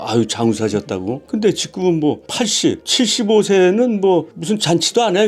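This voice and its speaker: The man's pitch swings very widely. He keeps a moderate pace. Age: 70s. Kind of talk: interview answer.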